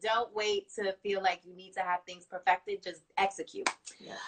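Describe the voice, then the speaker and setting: Ordinary pitch variation marks an unremarkable speaking voice moving at a fairly quick pace. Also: woman. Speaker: interviewer. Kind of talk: interview conversation. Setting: video call, IGTV series.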